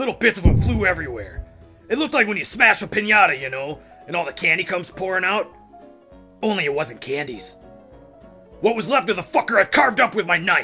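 A man uses a put-on character voice with a high pitch, talking at a very fast pace broken by long, frequent pauses. Clear music plays in the background. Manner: rambling, manic storytelling, gleefully violent.

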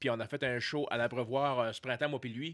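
Against a quiet background, the speaker talks at a moderate pace with fairly even intonation. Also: man. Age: 40s. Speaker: comedian; podcast guest. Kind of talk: casual chat. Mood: relaxed, joking. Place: studio. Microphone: studio mic.

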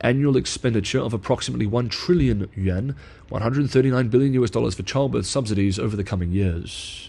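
This man's voice has a dark, mellow tone and is somewhat breathy. He talks at a fairly quick pace. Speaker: news analyst and video creator. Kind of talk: scripted narration reading an essay aloud.

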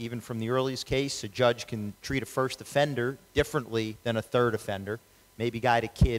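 A man talks fairly quickly while noticeable background noise plays beneath him. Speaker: lawyer, judicial candidate; lawyer, candidate. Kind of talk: candidate forum Q&A. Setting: public event with audience, wireless microphone. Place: hall. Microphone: handheld.

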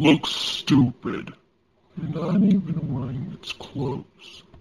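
A man uses a put-on character voice with a fairly high pitch. He talks at a very slow pace. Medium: dub. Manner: irritated, mocking.

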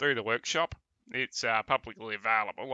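This man has an Australian accent. His intonation stays fairly even. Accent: nasal Australian. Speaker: gaming live streamer. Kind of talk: casual live stream chat.

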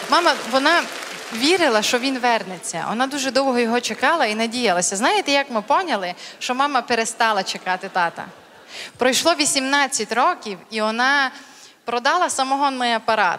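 Bright and sharp in tone, a woman speaks at a moderate pace and high pitch over light background noise. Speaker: stand-up comedian. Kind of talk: stand-up comedy monologue. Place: stage. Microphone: handheld.

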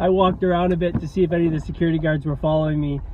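There is light background noise as a man speaks. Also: dry sound with no echo. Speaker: vlogger. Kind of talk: casual vlog chat. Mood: amused, laughing. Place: car. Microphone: phone near.

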